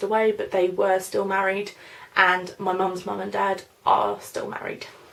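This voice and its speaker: Noticeable background noise runs under this recording. A woman speaks at a moderate pace. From London, then Norfolk. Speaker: beauty vlogger. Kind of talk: casual Q&A tag video. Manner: chatty, hesitant with fillers.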